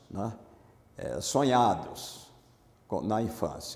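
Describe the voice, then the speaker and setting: A man talks at a very slow pace in a dark, mellow tone with ordinary pitch variation. Audible room echo surrounds his voice. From Bahia, Brazil (interior, near Feira de Santana). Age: 70s. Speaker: former navy marine, amnesty activist. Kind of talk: oral history interview.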